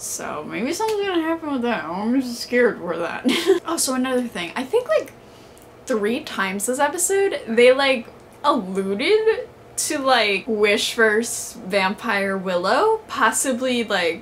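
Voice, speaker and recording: A woman with a high pitch speaks at a fairly slow pace, her pitch swinging very widely over light background noise. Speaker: vlogger. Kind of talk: casual vlog chat, episode reaction. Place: home room. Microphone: camera far.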